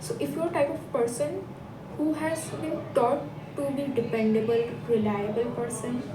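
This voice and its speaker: Over noticeable background noise and audible room echo, a woman with a high pitch makes very wide pitch swings. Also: moderate pace. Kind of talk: casual vlog monologue. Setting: office, lights off. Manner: halting, self-correcting.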